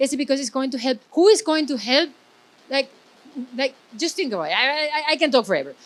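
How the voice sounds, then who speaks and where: A woman's loud, high-pitched voice. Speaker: event host. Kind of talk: closing speech at live event. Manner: animated.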